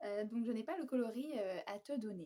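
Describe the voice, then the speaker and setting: Somewhat breathy, a woman talks at a fairly slow pace with lively intonation. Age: 20s. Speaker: knitting podcaster. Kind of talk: casual monologue to camera. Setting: at home on the couch. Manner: hesitant, many fillers.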